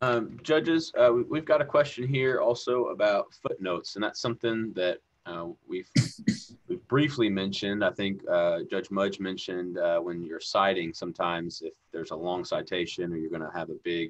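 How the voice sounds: At a moderate pace, a man speaks in a low pitch with fairly even intonation.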